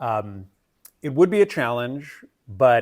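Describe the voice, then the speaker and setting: Recorded very cleanly against a silent background, a man's voice moves in very wide pitch swings. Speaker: political commentator. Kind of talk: monologue commentary.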